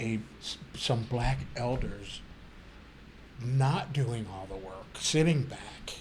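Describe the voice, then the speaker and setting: A man with a medium-pitched voice talks at a very slow pace, leaving long, frequent pauses. His loudness swings widely, his pitch varies in an ordinary way, and room echo is audible. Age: 60s. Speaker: panelist on faith and spirituality. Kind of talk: panel discussion. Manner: animated, halting with restarts.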